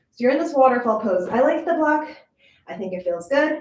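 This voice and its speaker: Amid audible room echo, a woman talks at a fairly quick pace with very wide pitch swings. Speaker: yoga instructor. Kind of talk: guided yoga class. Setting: live stream.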